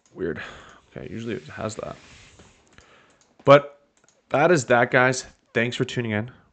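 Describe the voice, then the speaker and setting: With vocal fry and big swings in loudness, a man talks at a moderate pace broken by long, frequent pauses. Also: medium pitch for a man, ordinary pitch variation. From Canada. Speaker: video game streamer. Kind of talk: gameplay commentary. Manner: casual, hesitant with fillers.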